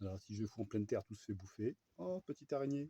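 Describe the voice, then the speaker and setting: A soft-spoken man with a dark, mellow tone and ordinary pitch variation, dry and close with no echo. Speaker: vlogger, hobby gardener with chickens. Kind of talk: casual vlog monologue. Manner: hesitant, many fillers.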